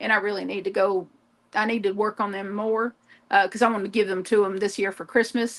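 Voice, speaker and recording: Very fast and in a monotone, flat intonation, a woman with a Southern US accent speaks at medium pitch. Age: 50s. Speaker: crafter livestreamer. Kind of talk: casual chat. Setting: live stream.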